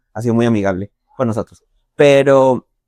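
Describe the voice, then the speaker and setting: Recorded dry and close with no echo, a man talks at a fairly quick pace with ordinary pitch variation. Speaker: podcast host. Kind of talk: podcast interview.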